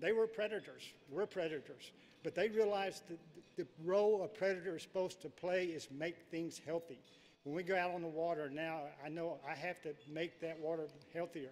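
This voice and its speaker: A man talks at a fairly quick pace in a high voice. His intonation stays fairly even. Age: 70s. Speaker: professional angler. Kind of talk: acceptance speech. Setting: stage with audience.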